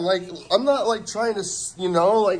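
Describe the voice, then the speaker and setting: The speech is loud, with lively intonation. Noticeable background noise runs underneath. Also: man. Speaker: first amendment auditor. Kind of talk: heated argument. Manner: agitated.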